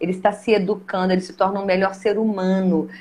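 There is noticeable background noise behind this woman. She speaks at medium pitch and a fairly quick pace. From Caratinga, Minas Gerais, Brazil. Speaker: theatre teacher and director. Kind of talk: casual chat.

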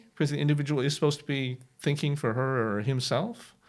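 Here a man speaks with an American accent at a fairly quick pace. The recording is very clean with a silent background. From United States. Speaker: professor of European languages. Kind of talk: interview conversation. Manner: halting, many fillers and repetitions.

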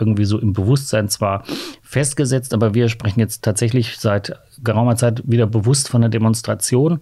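A dark, mellow tone marks this somewhat breathy voice. Its pace is moderate, and its pitch varies in an ordinary way. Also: man. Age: 50s. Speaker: LGBT rights activist, association chair. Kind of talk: podcast interview.

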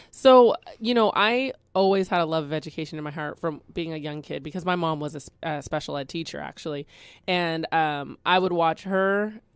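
A woman with a Californian accent speaks at a moderate pace in a fairly low pitch with ordinary pitch variation, on a very clean recording with a silent background. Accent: Californian American English. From Bakersfield, California. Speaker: educator. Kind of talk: radio interview. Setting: studio.

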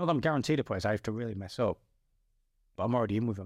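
This is a man talking with a northern English accent. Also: dry, close sound with no echo, very clean recording, silent background. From northern England. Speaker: former footballer turned mountain climber. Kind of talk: casual chat.

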